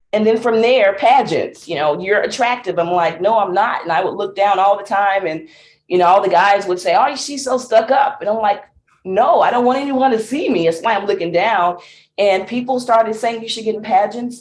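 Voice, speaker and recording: This woman's voice sits fairly high, with a Southern US accent. Her pitch varies in an ordinary way, and she talks at a fairly quick pace. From Mississippi. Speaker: singer, songwriter and speaker. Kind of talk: interview answer. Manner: upbeat, positive.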